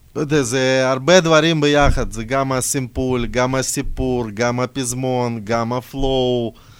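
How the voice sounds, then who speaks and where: A man with a non-native accent talks at a fairly slow pace and medium pitch. His intonation is fairly even, with hardly any pauses. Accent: noticeable foreign accent in Hebrew. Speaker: rapper. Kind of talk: casual chat.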